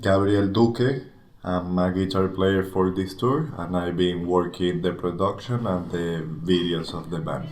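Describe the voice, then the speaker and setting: Amid audible room echo, a man talks at a fairly slow pace in a very deep, low voice with ordinary pitch variation. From Venezuela. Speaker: touring guitarist and video producer. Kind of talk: casual interview.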